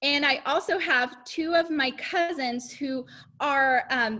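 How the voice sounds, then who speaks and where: Woman's raised, projected voice, high-pitched, with a bright, sharp tone. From Mexico (Chihuahua), moved to Arkansas at twelve. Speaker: cosmetics sales director. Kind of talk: testimony.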